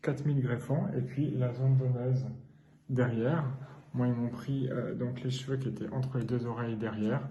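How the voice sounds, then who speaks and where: The speech moves at a moderate pace with monotone, flat intonation. Noticeable background noise runs underneath. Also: man, medium pitch for a man. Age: 40s. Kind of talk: casual vlog talk to camera. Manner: hesitant, many fillers.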